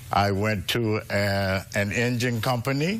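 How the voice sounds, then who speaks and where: Audible room echo surrounds the speaker. He is a man whose pitch varies in an ordinary way. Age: 60s. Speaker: litigant, retired federal employee. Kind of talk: courtroom testimony.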